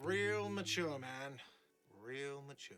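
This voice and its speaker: The speaker uses a whiny, put-on character voice. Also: man, medium pitch for a man. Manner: shouting.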